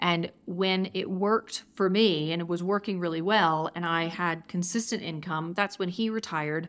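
With an American accent, a woman speaks at a moderate pace in a fairly low voice, her intonation fairly even and her speech hardly pausing, on a very clean recording with a silent background. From Georgia, US South. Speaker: tech community founder. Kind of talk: interview. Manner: halting, many fillers.

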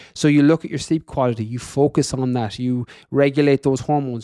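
In a dry, close recording with no echo, a man with an Irish accent speaks at medium pitch with a dark, mellow tone and monotone, flat intonation. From west of Ireland. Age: 30s. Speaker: fitness coach and podcaster. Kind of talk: interview conversation.

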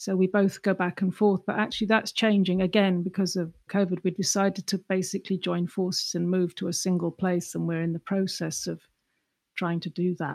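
In an English accent, a woman talks at a fairly quick pace and a medium pitch, her intonation monotone and flat. The sound is dry and close, with no echo. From England. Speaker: artist. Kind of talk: interview.

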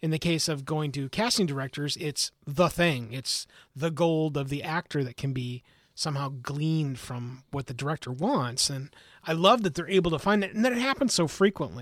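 Recorded very cleanly against a silent background, this plain, everyday voice moves at a moderate pace with lively intonation. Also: man, fairly high pitch for a man. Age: 40s. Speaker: podcast co-host. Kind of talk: casual chat.

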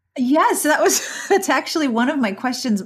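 A somewhat breathy woman with an American accent at a moderate pace, on a very clean recording with a silent background. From Pittsburgh. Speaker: podcast host. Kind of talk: casual interview chat.

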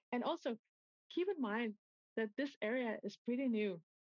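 In a dry, close recording with no echo, a woman speaks at a moderate pace in a fairly high pitch with a slightly mellow tone.

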